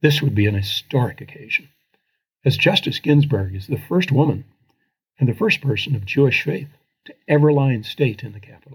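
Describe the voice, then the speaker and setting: With an American accent, a man talks at a fairly quick pace in a fairly high, somewhat breathy voice, his intonation lively and his loudness swinging widely. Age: 70s. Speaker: former congressman and writer. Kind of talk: reading aloud a personal essay.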